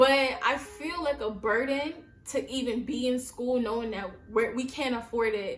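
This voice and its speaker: Against noticeable background noise, a woman with an American accent speaks in an animated tone at a high pitch. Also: ordinary pitch variation, moderate pace. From US Northeast, Brooklyn, New York. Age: 20s. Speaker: YouTuber. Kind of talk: casual vlog monologue.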